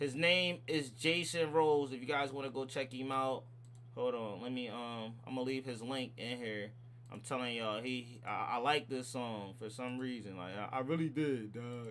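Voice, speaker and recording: This man talks at a moderate pace with a medium pitch and ordinary pitch variation. Room echo can be heard around his voice. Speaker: livestream reaction host. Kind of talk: livestream sign-off chat. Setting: livestream. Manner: animated.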